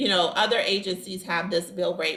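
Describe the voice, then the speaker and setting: A woman has an unremarkable speaking voice. Her intonation stays fairly even. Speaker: staffing agency owner giving a business training. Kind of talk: online training presentation.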